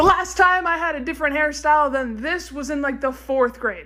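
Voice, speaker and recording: A woman projects a raised voice at a high pitch with lively intonation over noticeable background noise. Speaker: TikTok creator. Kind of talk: short video monologue. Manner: loud.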